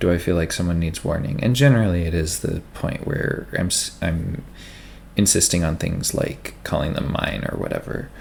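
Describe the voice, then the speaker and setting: A man talks in a soft-spoken way. His pitch is very deep and low. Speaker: ASMR creator. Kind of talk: casual chat. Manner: halting.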